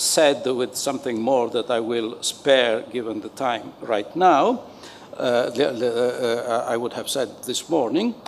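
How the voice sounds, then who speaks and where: Against noticeable background noise, a man of medium pitch talks at a fairly slow pace. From Italy. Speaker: panel moderator. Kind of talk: panel discussion moderation. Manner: halting, many fillers.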